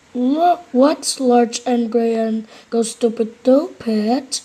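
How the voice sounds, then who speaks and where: Using a put-on character voice, a woman talks very slowly at a high pitch. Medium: read story.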